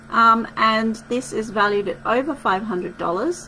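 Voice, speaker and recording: A woman talks in a fairly high pitch with an Australian accent. Noticeable background noise is present. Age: 40s. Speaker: wellness podcast host and retreat organiser. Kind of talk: casual solo podcast talk.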